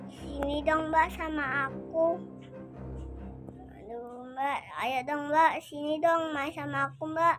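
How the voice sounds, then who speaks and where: Over clear music in the background, a put-on character voice with a whiny tone and high pitch is raised and projected, whining at a fairly slow pace with long, frequent pauses. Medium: cartoon. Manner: pleading, whiny.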